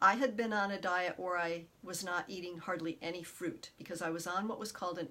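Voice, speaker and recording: A woman with an unremarkable speaking voice talks at a fairly low pitch, her intonation fairly even. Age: 60s. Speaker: detox specialist. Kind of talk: personal testimony. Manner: warm.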